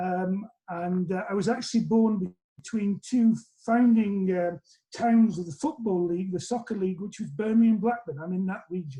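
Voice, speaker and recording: In a Lancashire accent, a man with a high pitch and a dark, mellow tone speaks with ordinary pitch variation. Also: moderate pace. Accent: northern English, Lancashire. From northern England, Lancashire. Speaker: college president. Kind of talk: interview. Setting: video call.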